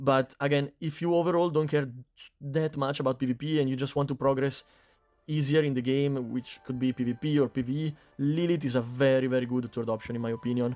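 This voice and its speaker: Speaking at a fairly quick pace, a man with a non-native accent uses a medium pitch and fairly even intonation. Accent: non-native English accent, self-described. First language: not English. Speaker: mobile game YouTuber. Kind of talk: game guide commentary. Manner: casual, filler-heavy.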